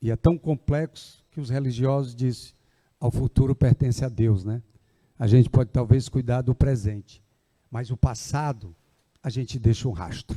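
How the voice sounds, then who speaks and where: A man speaks at a moderate pace and medium pitch, his dark, mellow, somewhat breathy tone swinging widely in loudness with ordinary pitch variation, captured dry and close with no echo on a very clean recording with a silent background. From Ceará, Brazil. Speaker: agricultural development foundation representative. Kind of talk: public speech at event. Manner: conversational, informal.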